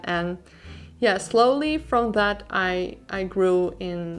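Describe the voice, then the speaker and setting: A woman speaks in a Dutch accent. Her pitch variation is ordinary. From Netherlands. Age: 20s. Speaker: artist and YouTuber. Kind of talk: Q&A voiceover over drawing video. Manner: casual, with many fillers.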